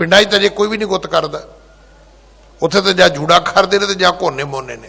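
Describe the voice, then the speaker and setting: A man with a high pitch speaks in a raised, projected voice at a moderate pace. His loudness swings a lot and his pitch varies in an ordinary way, over noticeable background noise. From rural Punjab. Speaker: Sikh preacher / head granthi. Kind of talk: religious discourse (katha). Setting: gurdwara.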